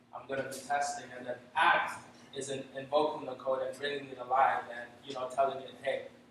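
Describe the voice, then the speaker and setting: A man's medium-pitched, monotone voice with flat intonation, big swings in loudness, audible room echo and noticeable background noise. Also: fairly quick pace. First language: not English. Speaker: software developer. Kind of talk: tech talk presentation. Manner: halting, many fillers.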